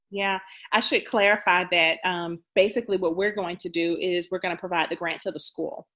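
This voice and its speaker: A woman speaks at a fairly quick pace in a medium-pitched voice. Her tone is bright and sharp, and her intonation fairly even. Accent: American. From Jacksonville, Florida. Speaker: nonprofit president. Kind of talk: interview. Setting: video call.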